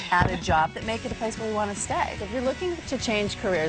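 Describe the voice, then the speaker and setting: A woman speaks at a fairly quick pace in an upbeat tone, her pitch varying in an ordinary way, with music playing in the background. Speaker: TV host. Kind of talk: TV show hosting to camera.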